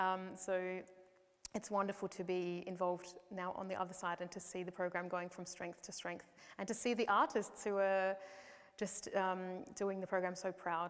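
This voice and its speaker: Speaking in an Australian accent, a woman uses medium pitch at a moderate pace. Her intonation is monotone and flat. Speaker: opera singer. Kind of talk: interview answer.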